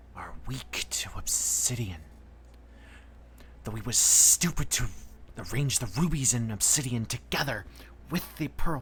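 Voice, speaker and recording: A put-on character voice at a moderate pace, with long, frequent pauses and clear background noise. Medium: actual play. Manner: measured, knowing.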